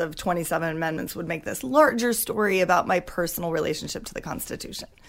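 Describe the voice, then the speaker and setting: In an American accent, a woman with an ordinary speaking voice talks at a fairly quick pace, her pitch varying in the ordinary way. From Washington State (Wenatchee). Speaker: playwright and actor. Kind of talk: casual interview chat.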